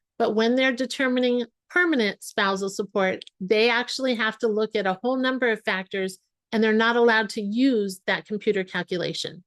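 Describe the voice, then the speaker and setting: In a plain, everyday voice, a woman talks at a fairly quick pace and a fairly high pitch, with a dry, close sound with no echo and a quiet background. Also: ordinary pitch variation. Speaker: family law attorney. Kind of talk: webinar presentation. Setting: online webinar.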